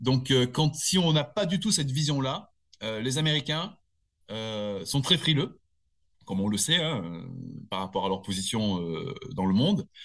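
At a fairly slow pace broken by long, frequent pauses, a man speaks in a medium pitch with very wide pitch swings. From southern France, Nice area. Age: 50s. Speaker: security company manager. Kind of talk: interview. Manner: hesitant, many fillers and repetitions.

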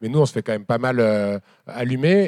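The sound is dry and close with no echo as a man speaks in a dark, mellow tone. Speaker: moderator and farming activist. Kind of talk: live public talk. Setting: stage with audience. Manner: halting.

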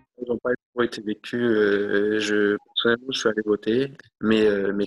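Fairly low in pitch, a man speaks at a fairly slow pace with monotone, flat intonation in a dry, close sound with no echo. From New Caledonia. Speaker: interviewee. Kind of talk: interview testimony. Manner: hesitant, repeats words.

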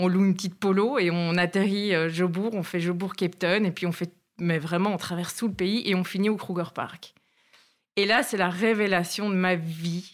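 A woman with a Brussels accent at a medium pitch, moderate pace and fairly even intonation, in a very clean recording with a silent background. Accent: Brussels Belgian French. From Belgium, Brussels. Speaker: traveller, former bush lodge resident. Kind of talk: casual interview.

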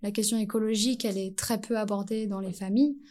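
This woman has a dark, mellow tone at a medium pitch, and her intonation stays fairly even. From French Antilles. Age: 30s. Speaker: primary school teacher. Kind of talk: casual interview.

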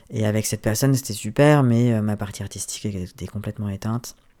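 A dark, mellow tone at a fairly quick pace. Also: man. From France, Ardèche. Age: 30s. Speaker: photographer and business owner. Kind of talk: interview. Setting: apartment living room.

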